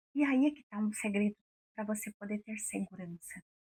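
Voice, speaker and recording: A woman speaks in a calm tone at a moderate pace with ordinary pitch variation. The sound is dry and close, with no echo. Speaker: women's mentor and radio presenter. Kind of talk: motivational talk.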